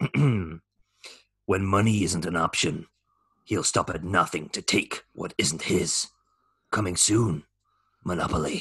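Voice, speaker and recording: Using a put-on character voice, a man speaks fairly slowly in a raspy, very deep, low pitch, leaving long, frequent pauses. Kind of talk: movie trailer voice. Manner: dramatic, announcing.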